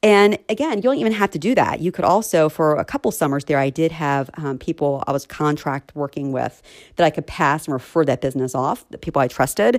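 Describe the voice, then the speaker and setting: With a very deep, low pitch and lively intonation, a woman speaks at a fairly quick pace in a dry, close sound with no echo. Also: hardly any pauses, very clean recording, silent background. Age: 40s. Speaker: recruiter and podcast host. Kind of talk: solo podcast monologue. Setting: home. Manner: fast.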